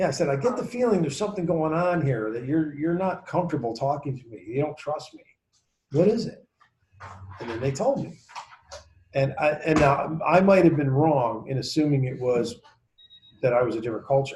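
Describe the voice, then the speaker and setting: With an American accent, a man speaks at a fairly high pitch with lively intonation, big swings in loudness, and long, frequent pauses. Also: fairly quick pace. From New York. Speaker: sales trainer. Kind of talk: training session.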